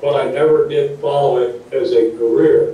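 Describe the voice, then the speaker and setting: A man talks at a fairly slow pace. The room echo is audible, and background noise is noticeable. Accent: Upper Midwest. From US Midwest, Wisconsin. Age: 60s. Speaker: retired teacher and guidance counselor. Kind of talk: interview talk, paused for interpreter.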